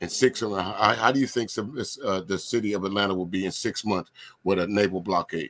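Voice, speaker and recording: A man with a Southern US accent talks at a fairly quick pace in a fairly low voice. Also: ordinary pitch variation. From US South. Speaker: DJ and livestream host. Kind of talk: casual panel discussion. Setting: video call livestream.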